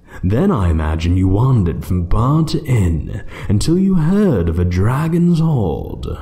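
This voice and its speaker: A man in a put-on character voice, fairly low-pitched, at a moderate pace. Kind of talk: audio roleplay. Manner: slow, menacing, taunting.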